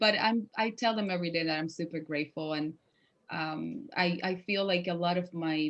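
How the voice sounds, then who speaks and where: Over a quiet background, a woman with a fairly low pitch talks at a moderate pace with a Spanish accent. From Cuba. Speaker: actress. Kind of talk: interview.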